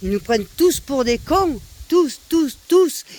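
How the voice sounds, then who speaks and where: In a southern French accent, a woman speaks at a fairly slow pace. Her tone is animated, with very wide pitch swings. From southern France, Nîmes. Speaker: vlogger. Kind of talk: rant to camera. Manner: animated, loud.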